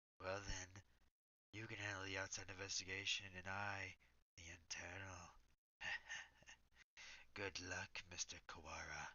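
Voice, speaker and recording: A man's put-on character voice, fairly low in pitch, at a moderate pace with long, frequent pauses. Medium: solo performance. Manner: formal, sly, condescending.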